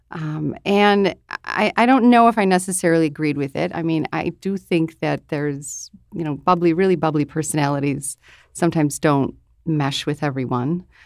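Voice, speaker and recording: Moderate pace and ordinary pitch variation in a very clean recording with a silent background. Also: woman, very deep, low pitch for a woman. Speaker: radio host. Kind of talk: casual panel discussion.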